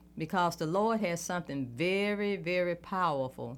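A woman with a Southern US accent talks at a fairly slow pace with lively intonation. The recording is very clean, with a silent background. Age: 60s. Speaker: politician. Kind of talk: interview.

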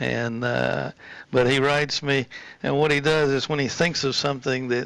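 With noticeable background noise behind him, the man keeps his intonation fairly even. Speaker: local historian guest. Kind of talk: casual radio interview.

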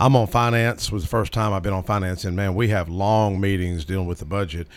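A man with a Southern US accent, fairly low-pitched, at a very fast pace, on a very clean recording with a silent background. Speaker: state legislator. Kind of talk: casual radio talk. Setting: radio studio.

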